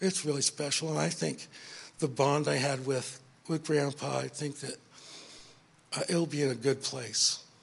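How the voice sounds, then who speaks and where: A man with an American accent and vocal fry, at a moderate pace with fairly even intonation and long, frequent pauses. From California. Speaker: grandson of the deceased. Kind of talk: eulogy.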